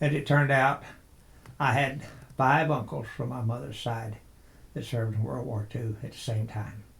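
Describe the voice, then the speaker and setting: A somewhat breathy speaker talks with a West Texas accent and ordinary pitch variation. Long, frequent pauses break up the speech. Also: man, medium pitch for a man. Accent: West Texas drawl. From West Texas (near Lubbock). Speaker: interviewee recalling childhood. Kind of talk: oral history interview.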